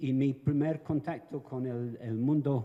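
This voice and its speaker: A man with a Venezuelan accent, a dark, mellow tone and medium pitch, speaking at a very slow pace with ordinary pitch variation. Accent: Venezuelan-tinged Spanish. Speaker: evaluation expert, panelist. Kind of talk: conference talk.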